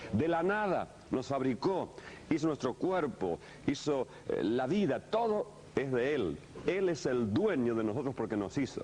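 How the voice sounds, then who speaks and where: A man with a fairly high pitch speaks at very even loudness. His pitch swings very widely. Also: fairly slow pace. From Argentina. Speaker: pastor teaching a course. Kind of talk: sermon-style teaching lecture.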